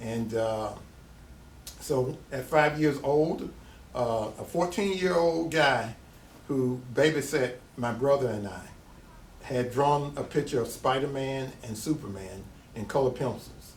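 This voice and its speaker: A man with a Tennessee accent speaks at a medium pitch and a fairly slow pace, somewhat breathy, with ordinary pitch variation and long, frequent pauses, amid audible room echo. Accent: Southern US (Tennessee). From US South. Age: 60s. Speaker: artist. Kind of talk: interview.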